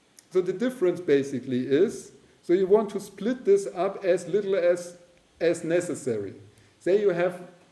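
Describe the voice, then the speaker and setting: A man's high-pitched voice at a fairly slow pace, with audible room echo. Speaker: university lecturer. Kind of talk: lecture. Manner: halting.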